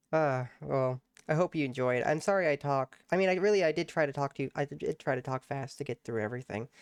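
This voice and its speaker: A man talks at a very fast pace with a fairly high pitch and ordinary pitch variation. The sound is dry and close with no echo, over a quiet background. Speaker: gaming YouTuber. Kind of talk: let's play commentary. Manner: animated.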